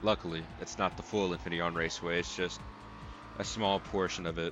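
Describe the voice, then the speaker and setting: Music plays in the background as a man talks at a fairly quick pace. His voice is very deep and low, with ordinary pitch variation. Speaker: gaming video creator. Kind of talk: let's play commentary. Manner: casual, rambling.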